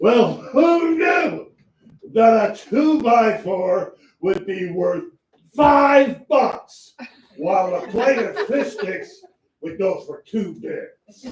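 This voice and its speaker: A man in a put-on character voice speaks at a very slow pace and an extremely high pitch, with a slight echo. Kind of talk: campy melodrama comic acting. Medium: stage play. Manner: rambling, folksy, full of hesitations.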